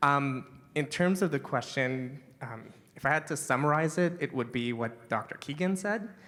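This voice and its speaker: A man's fairly high voice at a moderate pace, with ordinary pitch variation, on a very clean recording against a silent background. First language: Hebrew. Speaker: manager of a language technology platform. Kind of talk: panel discussion.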